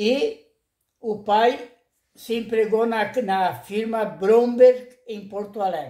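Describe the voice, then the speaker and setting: A high-pitched man with a dark, mellow tone, very slow and fairly even in intonation. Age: 80s+. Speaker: retired dentist. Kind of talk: oral history interview. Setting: at his home. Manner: halting, repetitive.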